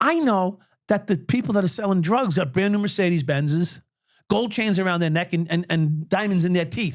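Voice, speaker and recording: A man with a New York accent speaks at a fairly quick pace in a high voice. His loudness stays very even, and his pitch varies in an ordinary way. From New York City (Brooklyn). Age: 60s. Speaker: former police officer. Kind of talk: interview.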